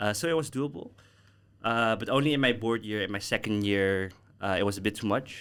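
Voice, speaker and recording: A man with a normal speaking voice, fairly low pitch and ordinary pitch variation, at a fairly quick pace on a very clean recording with a silent background. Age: 20s. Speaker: alumni guest, former student association president. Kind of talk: casual chat. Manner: casual, filler-heavy.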